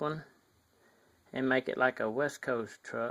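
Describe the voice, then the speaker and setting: The speaker has a strong Southern US accent and a fairly slow pace. The recording is very clean against a silent background. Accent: thick Southern US. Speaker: hobbyist model builder. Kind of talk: casual vlog. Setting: outdoors in sunlight by garage. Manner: hesitant, many fillers.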